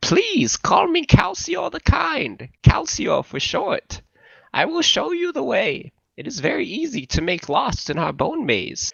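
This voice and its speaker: Putting on a character voice, a man pitches it extremely high. His delivery is fairly slow. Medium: read story. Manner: formal, courteous, slightly stilted.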